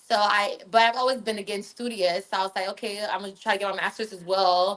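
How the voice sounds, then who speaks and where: Speaking very fast with a Californian accent, a woman keeps a monotone, flat intonation while her loudness swings widely. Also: medium pitch for a woman. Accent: American, Californian. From Northern California, Liberian household. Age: 30s. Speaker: media personality and healthcare worker. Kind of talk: casual interview.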